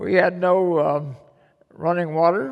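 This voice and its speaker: A man speaks at a fairly slow pace with a Midwestern American accent. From Missouri. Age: 80s+. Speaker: war veteran. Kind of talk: public talk.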